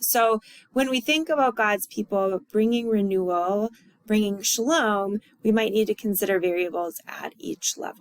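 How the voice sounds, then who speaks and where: A woman with an unremarkable speaking voice talks at a moderate pace in a fairly high pitch, with a dry, close sound and no echo. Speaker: college instructor. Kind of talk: recorded lecture review.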